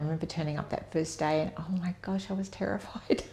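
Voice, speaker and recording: A woman talks with an Australian accent. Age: 70s. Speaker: nurse. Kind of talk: interview. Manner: casual and hesitant with fillers.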